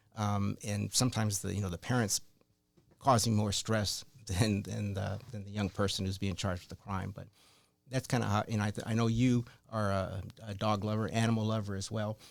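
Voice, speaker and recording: With music playing in the background, a man with a fairly low pitch speaks quickly in a flat monotone. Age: 70s. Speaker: criminal defense attorney. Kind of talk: casual chat. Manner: halting.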